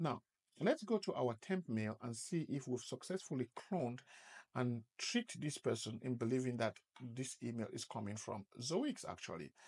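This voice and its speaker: Somewhat breathy, a man speaks at a moderate pace with lively intonation. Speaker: presenter. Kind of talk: tutorial.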